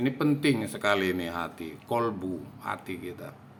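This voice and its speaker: With lively intonation, a man speaks in an ordinary speaking voice. His pace is fairly slow. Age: 60s. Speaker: religious educator. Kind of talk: religious talk.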